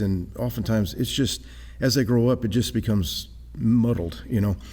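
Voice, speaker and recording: A man with a Texan accent speaks in a fairly low voice with a dark, mellow tone. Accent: Texan American. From South Texas, San Antonio. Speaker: traveling creationist speaker. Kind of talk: interview. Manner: very fast; animated.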